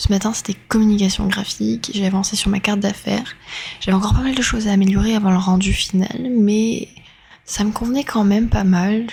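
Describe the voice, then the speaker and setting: A woman speaks at a medium pitch and a fairly quick pace, her intonation monotone and flat. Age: 20s. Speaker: university communication student. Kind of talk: vlog narration.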